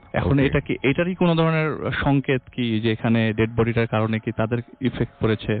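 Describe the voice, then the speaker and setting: Speaking at a medium pitch with ordinary pitch variation, the man has an ordinary speaking voice. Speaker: radio guest and storyteller. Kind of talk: ghost story telling on radio.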